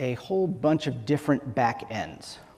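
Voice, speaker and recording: With lively intonation, a man with a fairly high voice speaks against noticeable background noise. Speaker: software engineer, conference speaker. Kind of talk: conference talk. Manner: fast.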